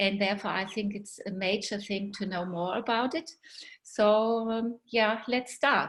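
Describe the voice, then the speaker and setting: A fairly high-pitched woman with a German accent, against a quiet background. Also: ordinary pitch variation, fairly slow pace. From Germany. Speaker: guest speaker, doctor. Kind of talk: presentation. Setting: video webinar. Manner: hesitant, many fillers.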